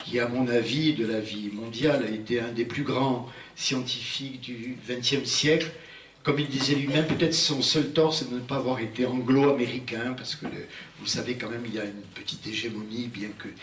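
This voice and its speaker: Over noticeable background noise and audible room echo, a man speaks at a medium pitch and moderate pace with fairly even intonation. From Algeria. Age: 70s. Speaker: physician and prehistory researcher, lecturer. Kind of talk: public lecture. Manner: halting, with frequent hesitations.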